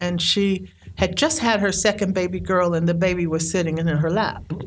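At a moderate pace, a woman talks at medium pitch in a normal speaking voice. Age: 60s. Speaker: storyteller and poet. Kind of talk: storytelling.

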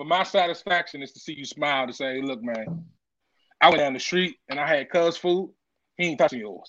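A man with an American accent in a plain, everyday voice, fairly high-pitched, fairly quick, with ordinary pitch variation and big swings in loudness. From Washington DC area. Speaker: chef. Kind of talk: casual chat.

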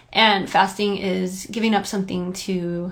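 A woman is speaking. Audible room echo is present. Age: 30s. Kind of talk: devotional monologue. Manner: casual, conversational.

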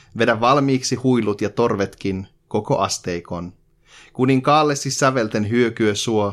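A man's solemn, medium-pitched voice at a very slow pace, with ordinary pitch variation, on a very clean recording with a silent background. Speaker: podcast co-host. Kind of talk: reading a poem aloud in Finnish, translated rhymed verse. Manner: measured, rhythmic, sing-song cadence with a deliberate, slightly mock-solemn tone.

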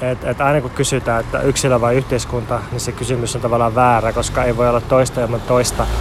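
A man speaks at a very fast pace with hardly any pauses, his pitch medium. His intonation stays monotone and flat over noticeable background noise. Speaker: podcast co-host. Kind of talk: travel report monologue. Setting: outdoors in a city park.

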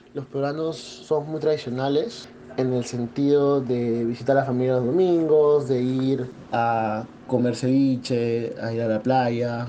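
The speaker talks at a fairly slow pace with fairly even intonation, amid noticeable background noise and audible room echo. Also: man, medium pitch for a man. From Peru, Lima. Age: 20s. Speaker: entrepreneur. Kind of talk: interview testimony.

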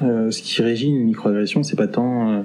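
This is a man. He has a plain, everyday voice at medium pitch. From Paris region, France. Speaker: interviewee sharing experiences. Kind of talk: testimony.

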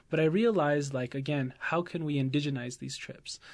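Against a quiet background, a man with an American accent and an unremarkable speaking voice talks at a moderate pace with a fairly high pitch. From Oklahoma. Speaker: high school teacher. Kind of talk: interview.

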